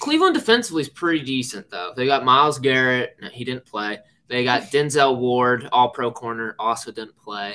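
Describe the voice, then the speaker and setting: A man with a normal speaking voice talks at a fairly quick pace and a medium pitch, with hardly any pauses. His intonation is fairly even, though his loudness swings widely. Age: 20s. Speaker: podcast host. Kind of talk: casual chat.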